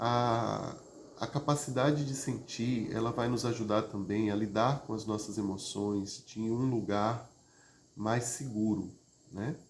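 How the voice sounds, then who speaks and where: Calm in tone, a man speaks very slowly at fairly low pitch with fairly even intonation. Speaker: therapist or emotional wellbeing teacher. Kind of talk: live stream talk on emotions. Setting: online live stream. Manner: conversational with frequent fillers; calm, prosodic after exercise.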